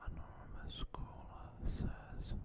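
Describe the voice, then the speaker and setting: Loud background noise surrounds a soft-spoken man who is whispering. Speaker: gaming video creator. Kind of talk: gameplay commentary, reading game dialogue aloud. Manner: close, soft ASMR whisper. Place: home room. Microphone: studio mic.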